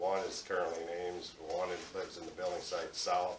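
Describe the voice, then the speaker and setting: A man talks at a fairly quick pace, with audible room echo and noticeable background noise. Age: 60s. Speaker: hog farmer. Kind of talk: public meeting presentation.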